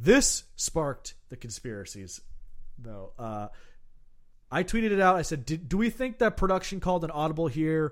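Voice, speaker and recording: A man at a moderate pace, high-pitched with very wide pitch swings and big swings in loudness, on a very clean recording with a silent background. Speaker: podcast host. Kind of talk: casual chat. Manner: animated.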